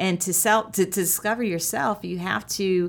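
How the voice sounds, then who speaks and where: Recorded very cleanly with a silent background, a woman speaks at a medium pitch and moderate pace, with ordinary pitch variation and an ordinary speaking voice. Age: 40s. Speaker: leadership consultant and entrepreneur. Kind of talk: interview.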